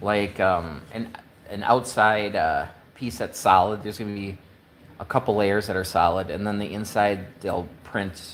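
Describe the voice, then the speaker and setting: A man with a Midwestern accent speaks at a fairly slow pace in a fairly low pitch with fairly even intonation, over noticeable background noise. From US Midwest, Wisconsin. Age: 50s. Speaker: woodworking maker. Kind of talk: live stream chat. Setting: workshop. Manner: casual, halting with fillers.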